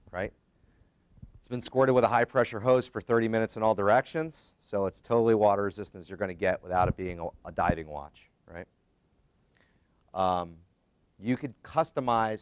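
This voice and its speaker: Loudness rises and falls in big swings as a man talks with a fairly low pitch and ordinary pitch variation. The sound is dry and close, without echo. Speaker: safety equipment company representative. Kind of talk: seminar presentation. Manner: fast.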